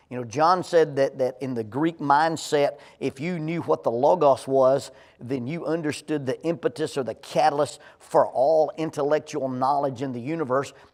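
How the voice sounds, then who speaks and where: At a moderate pace and with hardly any pauses, a man speaks with a fairly high pitch and fairly even intonation. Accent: Alabama. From Alabama. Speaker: Bible class teacher. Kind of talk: Bible class lecture. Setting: church classroom at a podium. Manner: conversational, repeats words often.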